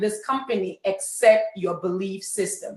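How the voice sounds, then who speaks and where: In a Cameroonian accent, a woman with a fairly high voice talks at a fairly slow pace in an animated tone. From Cameroon, French-speaking part. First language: French. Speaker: network marketing leader. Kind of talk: motivational talk. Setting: webinar.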